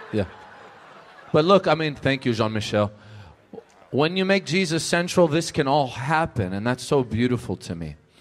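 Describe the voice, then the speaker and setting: A man talks in an animated tone at a moderate pace with a fairly high pitch and very wide pitch swings. He makes long, frequent pauses. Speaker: minister and conference host. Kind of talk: sermon-style conference hosting. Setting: stage with audience.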